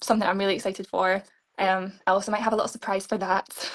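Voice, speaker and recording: A woman with a Scottish accent rattles along at a very fast pace, medium in pitch and monotone, flat in intonation. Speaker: beauty pageant contestant. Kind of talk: interview. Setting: live stream interview.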